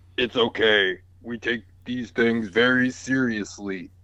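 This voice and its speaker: This man puts on a character voice at a medium pitch, keeping his intonation fairly even. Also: fairly slow pace. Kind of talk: cop voice. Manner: serious, authoritative.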